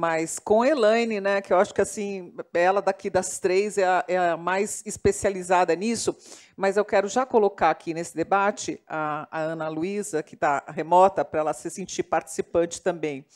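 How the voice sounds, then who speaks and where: With a plain, everyday voice, a woman talks at medium pitch with ordinary pitch variation and hardly any pauses. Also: moderate pace. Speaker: moderator, journalist. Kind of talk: panel discussion. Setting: live panel with online chat.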